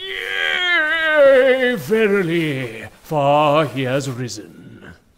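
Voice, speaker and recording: Speaking very slowly, a man uses a put-on character voice pitched fairly high. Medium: audio drama. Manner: archaic, preachy.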